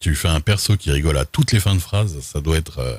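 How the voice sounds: A man talks at an extremely low pitch and a fairly quick pace. His tone is slightly mellow.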